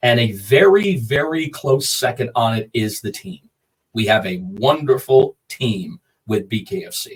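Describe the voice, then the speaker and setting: The voice is somewhat breathy, with very wide pitch swings and big swings in loudness. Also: man, medium pitch for a man, fairly slow pace. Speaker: combat sports ring announcer. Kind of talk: interview answer.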